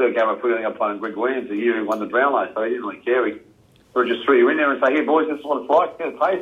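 With an Australian accent, this man talks very fast, his voice sitting at a medium pitch and showing ordinary pitch variation. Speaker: retired Australian rules footballer. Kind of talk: casual interview.

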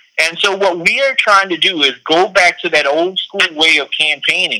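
The man's voice sits high in pitch. He talks at a moderate pace. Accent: South Carolina. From South Carolina, US South. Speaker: political candidate. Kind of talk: interview.

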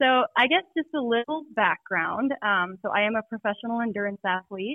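A woman speaks in a normal speaking voice. Her pitch is fairly high, with ordinary variation. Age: 30s. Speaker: pro mountain biker and packrafter. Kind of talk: casual interview.

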